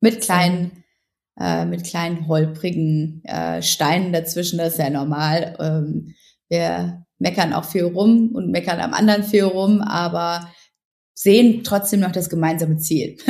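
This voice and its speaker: Fairly slow in pace, an ordinary speaking voice carries ordinary pitch variation. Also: woman, fairly low pitch for a woman. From Ruhr area, Germany. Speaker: journalist and blogger. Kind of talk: interview.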